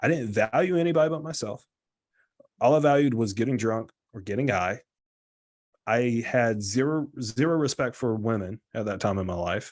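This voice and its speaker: A man with an American accent, medium pitch and lively intonation, at a moderate pace with long, frequent pauses, over a quiet background. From US South. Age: 20s. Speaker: guest in recovery sharing story. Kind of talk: testimony. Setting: live video stream. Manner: casual.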